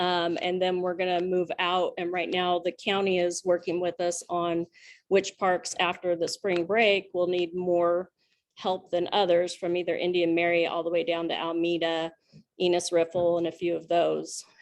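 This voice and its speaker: With an American accent, a woman speaks at a fairly low pitch and moderate pace in a monotone, flat manner over a quiet background. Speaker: student club advisor. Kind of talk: club meeting report. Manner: halting, many fillers.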